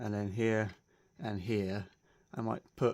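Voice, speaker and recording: With a fairly low pitch, this man keeps his speech at a moderate pace. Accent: British. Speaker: RC model hobbyist. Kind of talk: casual show-and-tell video. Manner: subdued, low-energy.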